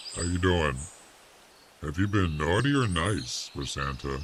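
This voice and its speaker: A man puts on a character voice, pitched very deep and low, and keeps a moderate pace. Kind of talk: jolly, greeting.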